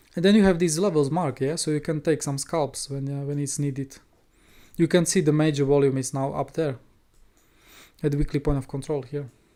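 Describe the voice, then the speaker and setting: A man's fairly high-pitched voice with a dark, mellow tone and a non-native accent, fairly quick but with long, frequent pauses and fairly even intonation, in a very clean recording with a silent background. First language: not English. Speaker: crypto trading streamer. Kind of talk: educational livestream. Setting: live stream.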